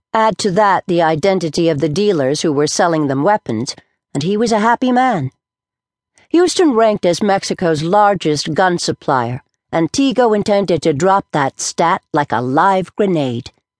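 At a moderate pace, a woman speaks in a dramatic tone with very wide pitch swings and very even loudness, the sound dry and close with no echo over a quiet background. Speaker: audiobook narrator. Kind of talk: audiobook narration of a suspense novel. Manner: dramatic, tense, storytelling pace.

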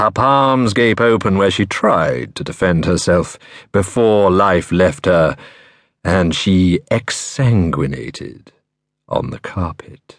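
In a calm, menacing tone, a man with a very deep, low voice speaks at a very slow pace over a quiet background. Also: lively intonation. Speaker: audiobook narrator. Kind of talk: dark first-person thriller narration, read aloud. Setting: studio. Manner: measured, chillingly calm and menacing; lingering, atmospheric delivery of grisly imagery.

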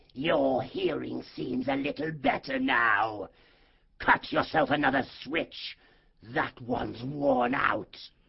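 A put-on character voice, raspy and hoarse, sits at a low-to-middle pitch. It moves at a fairly slow pace. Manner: menacing, bad-tempered, commanding.

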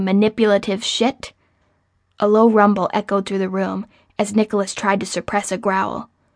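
A woman has an unremarkable speaking voice. She talks at a fairly quick pace with a fairly high pitch. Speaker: audiobook narrator. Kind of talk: audiobook narration with acted-out heated argument dialogue. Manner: sharp, sarcastic and bristling with anger in Becca's lines.

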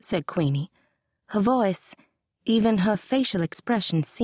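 Lively intonation marks this reading aloud in a natural voice, set against a quiet background.

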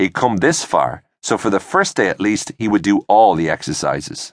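This man speaks with an Irish accent. His pace is moderate. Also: dry, close sound with no echo. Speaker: audiobook narrator. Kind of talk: audiobook narration reading a scripted story. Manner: steady, clear storyteller pacing, shifting into character voices for dialogue.

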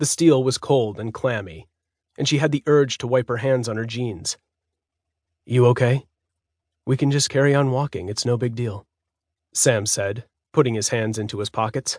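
Against a quiet background, a man of medium pitch talks at a moderate pace with ordinary pitch variation and long, frequent pauses, the sound dry and close with no echo. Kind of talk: audiobook horror story narration.

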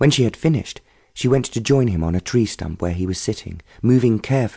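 Someone does plain reading aloud.

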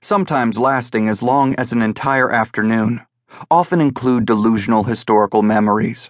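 A natural voice reads aloud with quiet surroundings.

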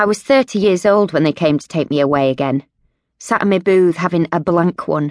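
A woman has an ordinary speaking voice with a fairly low pitch and ordinary pitch variation. She talks at a fairly quick pace against a quiet background. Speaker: audiobook narrator. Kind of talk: dramatic first-person audiobook narration of an epileptic seizure. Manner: breathless, fragmented, rhythmic delivery of sensory images; gritty, blunt first-person voice with swearing.

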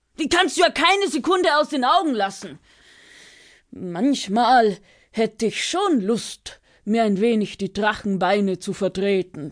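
Against a quiet background, a woman speaks fairly slowly in an animated, playful tone, her fairly high pitch making very wide swings. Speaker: audiobook narrator. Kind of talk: audiobook storytelling, fairy tale for children. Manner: animated, playful, changes voice for each character, grumpy dragon vs. curious bird; warm, direct address to child listeners, with laughter and pauses.

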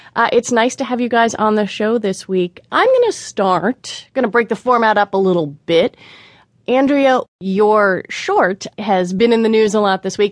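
A woman with an unremarkable speaking voice at a moderate pace with ordinary pitch variation, her sound dry and close with no echo against a quiet background. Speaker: radio host. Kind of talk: public radio news show host intro and interview banter. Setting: studio. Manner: polished, warm, conversational, upbeat.

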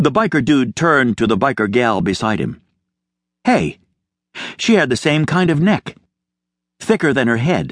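A man's fairly high voice with vocal fry, very wide pitch swings, a moderate pace and long, frequent pauses, in a dry, close sound with no echo. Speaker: audiobook narrator. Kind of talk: audiobook narration, first-person dog narrator with character voices.

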